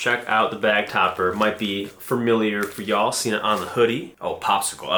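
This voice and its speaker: A man at a medium pitch amid noticeable background noise. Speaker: fingerboard vlogger. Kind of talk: casual unboxing vlog. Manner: fast; animated.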